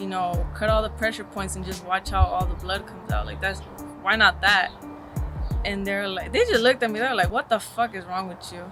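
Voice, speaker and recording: A woman with an American accent, a fairly quick pace and big swings in loudness, with music in the background. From East Los Angeles. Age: 20s. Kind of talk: documentary interview answer. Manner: casual, slangy.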